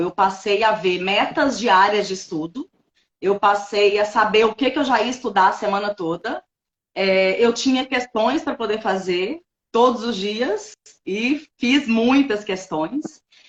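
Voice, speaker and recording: A woman talks at a fairly slow pace in a fairly high voice with ordinary pitch variation. She has a plain, everyday voice. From Minas Gerais, Brazil. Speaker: notary registrar, former lawyer. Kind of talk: interview testimony. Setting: online live stream.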